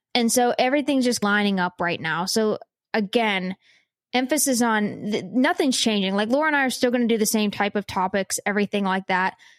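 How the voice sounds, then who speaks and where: A woman with a Pittsburgh accent, fairly high-pitched, talking at a fairly quick pace with ordinary pitch variation, in a dry, close sound with no echo. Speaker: science and nature podcast co-host. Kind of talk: casual chat.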